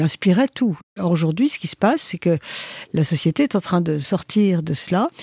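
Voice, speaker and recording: Lively in intonation and somewhat breathy, a woman speaks at a fairly low pitch with a dark, mellow tone, in a dry, close sound with no echo. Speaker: philosopher and author. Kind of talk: interview.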